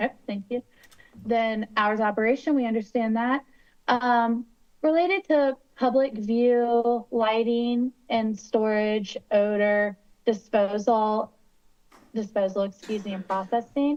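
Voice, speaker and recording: A woman with a slight West Virginia accent, fairly high in pitch and fairly even in intonation. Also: fairly slow pace. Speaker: attorney advising city council. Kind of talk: public meeting discussion. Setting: video call shown on screen.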